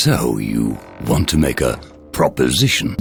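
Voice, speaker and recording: A man does a cartoonish character voice at a moderate pace, with clear background noise behind him. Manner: condescending, imperious.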